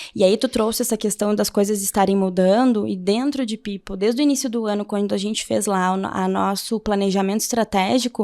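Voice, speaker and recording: With a Porto Alegre accent, a woman talks at a fairly quick pace and medium pitch, her dark, mellow tone carrying fairly even intonation with hardly any pauses over a very clean recording and silent background. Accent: gaúcho Porto Alegre accent, noticeable. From southern Brazil, Porto Alegre. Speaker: HR leader, pedagogue. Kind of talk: interview conversation. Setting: webcast interview.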